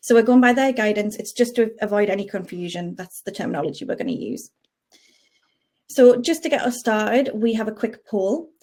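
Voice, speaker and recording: A woman with a Geordie accent talks at a fairly quick pace in a fairly high pitch with ordinary variation. Her tone is dark and mellow. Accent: Geordie, toned down. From northern England, Newcastle area. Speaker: payroll specialist. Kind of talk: webinar presentation.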